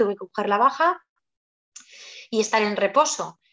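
She has a plain, everyday voice. Her pace is moderate, with ordinary variation in pitch. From Spain, Zaragoza (Aragon). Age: 30s. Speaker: mother telling her birth story. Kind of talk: interview testimony.

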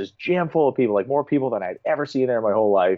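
With an American accent, a man speaks at a very fast pace in a medium pitch, using ordinary pitch variation. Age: 30s. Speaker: motorsport announcer. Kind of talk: casual chat.

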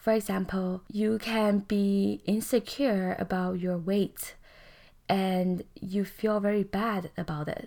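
In a very clean recording with a silent background, a woman speaks in a calm tone at a very slow pace. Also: medium pitch for a woman, fairly even intonation. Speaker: podcast host and life coach. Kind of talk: solo self-help podcast talk.

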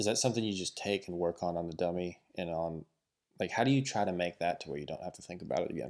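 With an American accent, a man talks at a very fast pace. His pitch is very deep and low, with ordinary variation. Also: big swings in loudness, very clean recording, silent background. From western US. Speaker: podcast host and rodeo roper. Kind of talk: casual interview.

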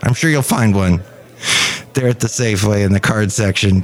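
Over noticeable background noise, a man talks in a playful tone. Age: 50s. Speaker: podcast host. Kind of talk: casual solo podcast monologue. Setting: cafe. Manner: playful, rambling.

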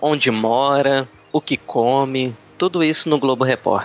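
There is noticeable background noise behind this man. He talks at a fairly slow pace with a fairly high pitch. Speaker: airline check-in agent and former reporter. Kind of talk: casual interview as the questioner. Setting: online call.

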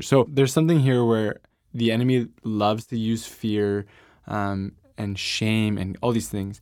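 A man's unremarkable speaking voice, fairly low in pitch with ordinary pitch variation, on a very clean recording with a silent background. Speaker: interviewer host. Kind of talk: interview conversation.

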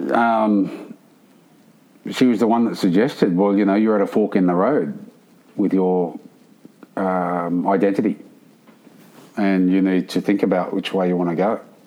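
Pausing long and often, a man talks at a fairly slow pace with a fairly low pitch and ordinary pitch variation. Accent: Australian. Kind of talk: interview.

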